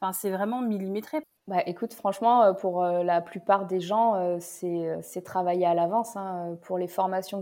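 A woman talks at a moderate pace with fairly even intonation. Her tone is dark and mellow. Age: 30s. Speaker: comedian. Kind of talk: casual chat.

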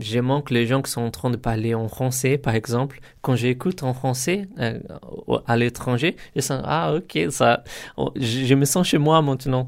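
A man speaks at a medium pitch with a Portuguese accent and ordinary pitch variation. His fairly slow delivery comes through on a very clean recording with a silent background. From Brazil, São Paulo. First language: Portuguese (speaking French). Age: 30s. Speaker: software test engineer and language student. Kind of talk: interview testimony. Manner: halting, many hesitations.

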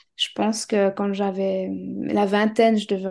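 A woman's medium-pitched voice with a dark, mellow tone at a moderate pace. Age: 30s. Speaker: client testimonial guest, hypnotherapist. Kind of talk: testimony interview. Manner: halting, many hesitations.

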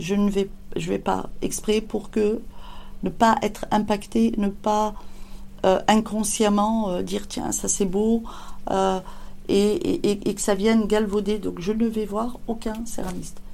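Her pace very slow, a woman talks with long, frequent pauses. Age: 50s. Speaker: ceramic artist. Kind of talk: interview. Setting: workshop. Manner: halting.

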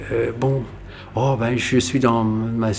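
A man speaks at a very slow pace in a medium pitch, with noticeable background noise behind him. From Algeria (pied-noir family). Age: 50s. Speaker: violinist. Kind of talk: casual storytelling interview. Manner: animated.

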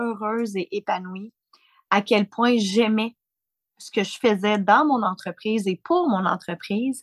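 Recorded dry and close with no echo, a woman with a plain, everyday voice speaks at a fairly slow pace and fairly high pitch, with ordinary pitch variation and big swings in loudness. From Quebec. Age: 40s. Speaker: founder of a business mothers' network. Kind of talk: interview.

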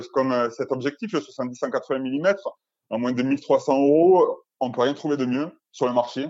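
A man talks at a moderate pace and medium pitch with ordinary pitch variation, in an ordinary speaking voice. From southern France, Albi. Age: 30s. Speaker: portrait photographer. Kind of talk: interview.

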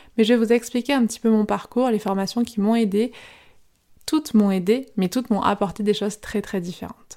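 A woman speaks at a fairly quick pace with fairly high pitch and fairly even intonation, her tone dark and mellow. The recording is very clean, with a silent background. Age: 30s. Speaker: podcast host, yoga teacher. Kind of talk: solo podcast monologue. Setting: filmed at sister's home.

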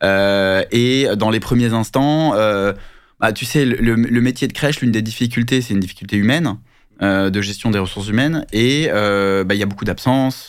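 A man at a fairly slow pace and medium pitch, with ordinary pitch variation and an unremarkable speaking voice. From France (Paris). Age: 30s. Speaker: business founder. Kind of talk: interview.

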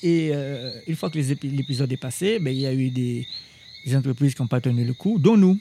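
Speaking at a moderate pace, a man with a fairly high pitch uses lively intonation. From Guadeloupe, Basse-Terre. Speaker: chef. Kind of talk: interview. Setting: outdoors in a garden at night. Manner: halting, repeats words.

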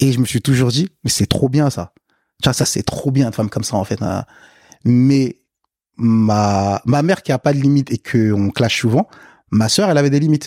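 The voice has a dark, mellow tone and ordinary pitch variation at a moderate pace, broken by long, frequent pauses. The recording is very clean, with a silent background and a dry, close sound with no echo. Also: man, medium pitch for a man. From Africa, then France from age eight. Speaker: podcast guest. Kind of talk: casual chat. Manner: casual, hesitant with repetitions.

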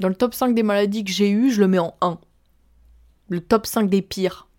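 At a fairly slow pace, a woman speaks. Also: very clean recording, silent background. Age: 20s. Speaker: podcaster. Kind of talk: personal testimony monologue. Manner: casual, animated.

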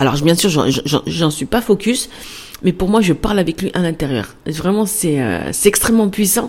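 A woman speaks at a medium pitch with lively intonation, with noticeable background noise behind her. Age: 40s. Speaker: podcast host, entrepreneur. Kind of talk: casual monologue. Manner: fast; spontaneous, hesitant.

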